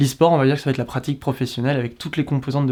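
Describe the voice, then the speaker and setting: Here a man speaks with a fairly high pitch. The recording is very clean and the background silent. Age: 20s. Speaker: esports commentator. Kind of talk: interview. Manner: hesitant, many fillers.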